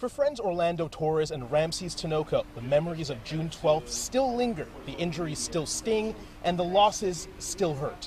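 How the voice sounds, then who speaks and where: Lively intonation over music in the background. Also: man, high pitch for a man, moderate pace. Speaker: TV news reporter and anchor. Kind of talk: TV news reporter delivery, live and packaged stories. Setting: outdoors, on location at news scenes.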